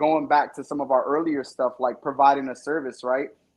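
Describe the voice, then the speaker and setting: A man with an ordinary speaking voice talks at a fairly quick pace. His pitch sits fairly high. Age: 30s. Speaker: independent music artist. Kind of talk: casual chat. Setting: live stream interview.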